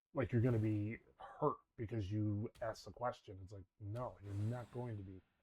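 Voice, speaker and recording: The voice is somewhat breathy, keeps a moderate pace and fairly even intonation, and shows big swings in loudness. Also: man, fairly low pitch for a man. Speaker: gaming content creator. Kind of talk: casual gameplay commentary. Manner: halting, many false starts.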